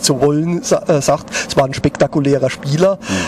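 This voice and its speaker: A man speaking at a fairly slow pace with ordinary pitch variation, against noticeable background noise. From Lower Franconia, Germany. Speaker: newspaper sports journalist. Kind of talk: casual chat. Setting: outdoors at a pub.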